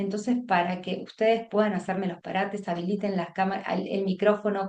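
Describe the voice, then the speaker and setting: There is noticeable background noise. A woman speaks with monotone, flat intonation. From Buenos Aires province, Argentina. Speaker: teacher trainer, education consultant. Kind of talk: online workshop lecture. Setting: video call. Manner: fast; halting, many fillers and restarts.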